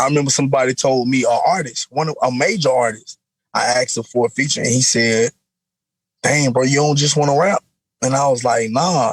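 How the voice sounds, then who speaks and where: Recorded with a dry, close sound with no echo, a somewhat breathy man at medium pitch talks at a fairly quick pace with very even loudness and ordinary pitch variation. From US South, South Florida (West Palm Beach). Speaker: rapper. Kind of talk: interview. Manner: casual, animated.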